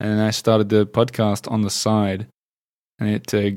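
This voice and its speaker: Speaking with an Australian accent, a man is heard on a very clean recording with a silent background. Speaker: podcaster, former journalist. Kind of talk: casual interview chat.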